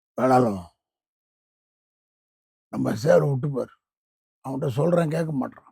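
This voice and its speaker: Using a raspy, put-on character voice, a man speaks fairly slowly at a medium pitch. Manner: forceful.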